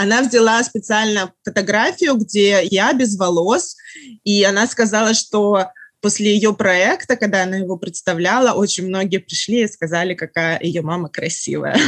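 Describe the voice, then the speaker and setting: An unremarkable speaking voice belongs to a woman who talks with ordinary pitch variation, medium pitch and a moderate pace. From Russia. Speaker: writer. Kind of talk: casual chat.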